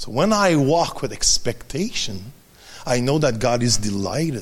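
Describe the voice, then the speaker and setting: A man with a French accent, medium pitch and very wide pitch swings, at a fairly slow pace. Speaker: preacher. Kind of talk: sermon. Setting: church. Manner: halting.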